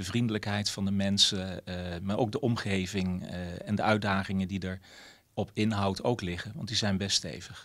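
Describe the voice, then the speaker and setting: A man's fairly low voice, moderate pace and fairly even intonation over a quiet background. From Netherlands, several provinces. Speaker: mayor. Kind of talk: interview. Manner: hesitant, many filler sounds. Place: office. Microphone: handheld.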